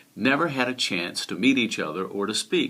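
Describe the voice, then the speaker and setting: The man's pitch swings very widely as he talks. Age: 50s. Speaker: YouTube vlogger. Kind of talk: casual monologue. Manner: halting.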